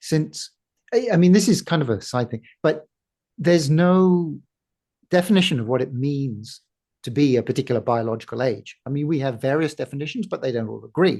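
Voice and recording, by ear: A man talks at a medium pitch. His tone is slightly mellow. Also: lively intonation, moderate pace.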